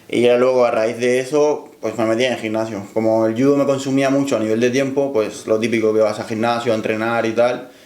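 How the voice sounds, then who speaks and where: Monotone and flat, a man speaks at a fairly quick pace with a medium pitch. Room echo can be heard. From Cuba. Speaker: powerlifter. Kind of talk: interview.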